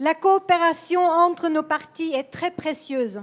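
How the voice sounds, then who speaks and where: A woman with a non-native accent speaks at an extremely high pitch with ordinary pitch variation. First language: Swedish (speaking French). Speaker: politician. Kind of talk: political speech. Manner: halting.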